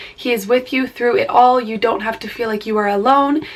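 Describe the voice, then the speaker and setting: Over noticeable background noise, a woman speaks at a fairly quick pace with a fairly high pitch and ordinary pitch variation. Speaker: beauty vlogger. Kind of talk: casual chat.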